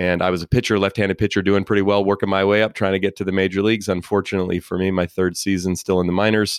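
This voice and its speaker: In an American accent, a man with a fairly low pitch rattles along at a very fast pace with hardly any pauses, very even loudness and a monotone, flat intonation. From Oakland, California. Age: 40s. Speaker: motivational speaker and author. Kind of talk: interview.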